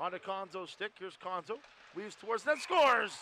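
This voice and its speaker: A man's raised, projected voice, high-pitched with a bright, sharp tone, at a fairly quick pace in a dry, close sound with no echo. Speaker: hockey play-by-play announcer. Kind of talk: live sports commentary over game highlights. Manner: rapid-fire, clipped play-by-play calls; excitable on goals, energetic.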